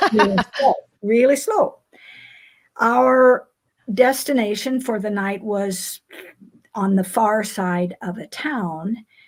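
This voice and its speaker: The speaker talks at a fairly slow pace with a somewhat breathy quality. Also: woman. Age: 80s+. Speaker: recreational cyclist. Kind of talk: interview. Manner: halting.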